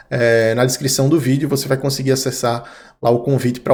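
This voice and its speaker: This man speaks fairly quickly with a northeastern Brazilian accent. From Brazilian Northeast. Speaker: crypto trading analyst. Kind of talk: market analysis video. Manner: casual, conversational.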